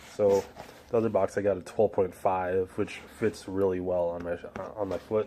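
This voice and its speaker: Quiet and at a moderate pace, a man speaks at a fairly low pitch in a monotone, flat intonation. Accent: American. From Chicago, US Midwest. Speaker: sneaker vlogger. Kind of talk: casual product review. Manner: subdued, quiet; hesitant, many fillers.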